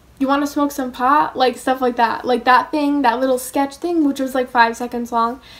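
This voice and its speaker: An animated woman speaks at a moderate pace over noticeable background noise. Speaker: vlogger. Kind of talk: casual chat.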